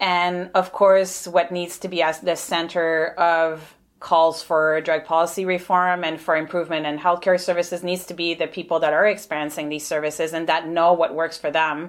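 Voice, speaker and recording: A woman with a French Canadian accent, fairly low in pitch, at a moderate pace with monotone, flat intonation and hardly any pauses. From Quebec, Montreal. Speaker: nursing professor. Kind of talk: interview.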